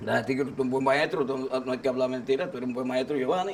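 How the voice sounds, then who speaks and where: A man talks very fast, his medium-pitched voice keeping fairly even intonation. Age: 60s. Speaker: singer. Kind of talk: casual chat. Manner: halting.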